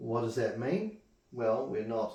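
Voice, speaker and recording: A man's medium-pitched, somewhat breathy voice at a fairly slow pace, with very wide pitch swings. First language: not English. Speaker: Bible study teacher. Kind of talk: Bible study class. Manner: halting.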